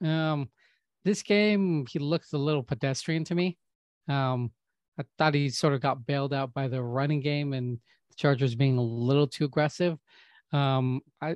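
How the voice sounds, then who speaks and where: A plain, everyday voice from a man, fairly high in pitch, at a fairly slow pace with ordinary pitch variation and a dry, close sound with no echo. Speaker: podcast co-host. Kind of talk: casual chat.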